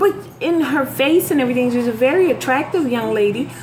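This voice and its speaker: A woman talks with noticeable background noise in the clip. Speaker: vlogger. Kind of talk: casual vlog chat. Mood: puzzled, amused. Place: kitchen. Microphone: phone near.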